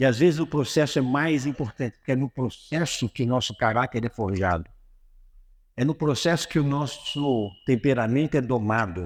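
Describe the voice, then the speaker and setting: The recording is very clean with a silent background and a dry, close sound with no echo, as a man with an ordinary speaking voice talks at a moderate pace, medium in pitch, with ordinary pitch variation. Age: 60s. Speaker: motivational speaker. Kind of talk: religious motivational talk. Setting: auditorium with audience.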